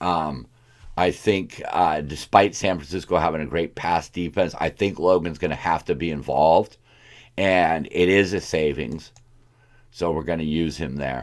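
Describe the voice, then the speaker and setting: A very deep, low male voice with vocal fry and ordinary pitch variation. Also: moderate pace, very clean recording, silent background. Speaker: fantasy football show host. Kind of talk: casual tutorial. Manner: frequent filler 'um', hesitant.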